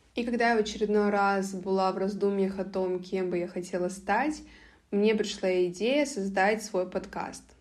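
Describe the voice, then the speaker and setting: Audible room echo hangs around the voice. Its pace is moderate and its intonation fairly even. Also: woman, medium pitch for a woman. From Russia, Karelia (Petrozavodsk). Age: 20s. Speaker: podcast host, university student. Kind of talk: solo podcast monologue.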